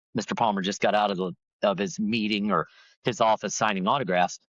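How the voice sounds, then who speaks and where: With an American accent, a man talks at a fairly quick pace, his fairly low pitch showing ordinary variation. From Florida. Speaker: professional golfer and golf broadcaster. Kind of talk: interview answer.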